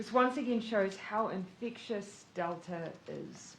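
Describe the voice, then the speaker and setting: Her voice somewhat breathy, a woman speaks with lively intonation in a New Zealand accent. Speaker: prime minister. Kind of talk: government press briefing.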